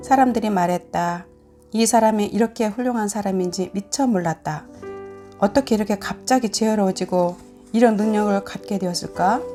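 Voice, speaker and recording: With music in the background, a woman speaks at a medium pitch and a moderate pace with ordinary pitch variation. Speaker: church deaconess. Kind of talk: scripture reading.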